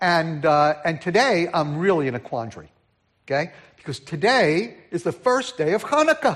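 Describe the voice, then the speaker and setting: A man with a New York accent and a high pitch, at a moderate pace, with very wide pitch swings over a quiet background. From New York City (Brooklyn, Queens), then New Jersey. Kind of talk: sermon. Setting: church.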